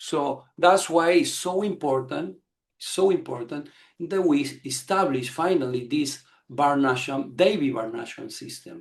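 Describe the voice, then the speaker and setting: A man is speaking. His pitch is fairly high. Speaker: spiritual teacher. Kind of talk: lecture. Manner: fast; halting.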